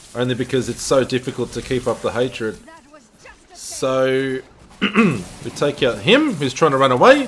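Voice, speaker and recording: The speaker has an Australian accent and keeps a moderate pace. Pitch varies in an ordinary way over noticeable background noise. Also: man, medium pitch for a man. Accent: Australian, noticeable in pronunciation. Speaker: gaming video creator and streamer. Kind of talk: gameplay tutorial commentary. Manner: casual, unscripted, some hesitations.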